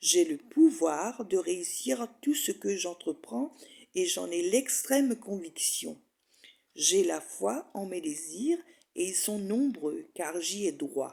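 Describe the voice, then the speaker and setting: A woman's very slow speech, dark and mellow in tone, with vocal fry and very wide pitch swings. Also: medium pitch for a woman. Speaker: hypnosis and spirituality author and guide. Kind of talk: hypnosis meditation guide reading affirmations. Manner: calm, slow, soothing.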